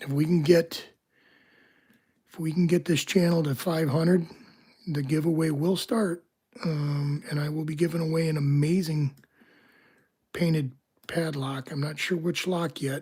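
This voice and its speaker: The speaker is soft-spoken and talks at a moderate pace with long, frequent pauses. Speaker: locksport streamer. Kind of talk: live stream commentary. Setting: home, live stream. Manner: hesitant, many fillers.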